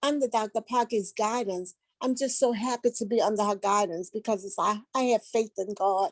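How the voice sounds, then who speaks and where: Someone with a New Orleans accent speaks at a moderate pace with fairly even intonation. The background is quiet, and the sound is dry and close with no echo. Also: woman. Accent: New Orleans Southern US. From US South, New Orleans, Louisiana. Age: 60s. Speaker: patient giving testimonial. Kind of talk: testimony. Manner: halting, with fillers.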